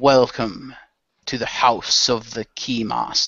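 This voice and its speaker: A man puts on a booming, raspy character voice at a medium pitch. He speaks at a fairly slow pace with monotone, flat intonation. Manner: ominous, theatrical.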